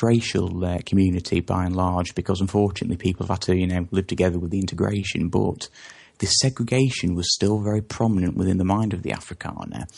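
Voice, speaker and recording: Against a quiet background, a man with an English accent talks at a fairly quick pace in a very deep, low pitch. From England. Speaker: interview guest on South Africa. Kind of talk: interview. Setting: phone call. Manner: halting, many fillers.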